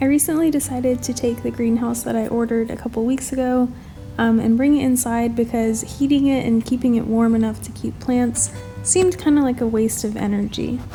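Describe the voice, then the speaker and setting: A woman speaks fairly quickly in a fairly high voice, with fairly even intonation. Music plays in the background. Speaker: home gardener. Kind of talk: voice-over narration.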